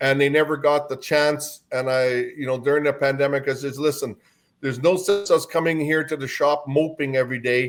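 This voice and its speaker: This man talks at a fairly quick pace with a fairly high pitch and a Canadian accent. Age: 60s. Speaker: carnival owner. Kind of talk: podcast interview. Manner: animated.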